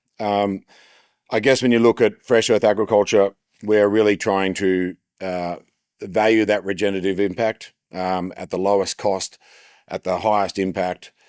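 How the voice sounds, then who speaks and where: In an Australian accent, the voice stays monotone and flat with long, frequent pauses, captured in a dry, close sound with no echo on a very clean recording with a silent background. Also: man, fairly low pitch for a man, moderate pace. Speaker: agricultural business presenter. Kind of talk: conference presentation. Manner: hesitant with fillers.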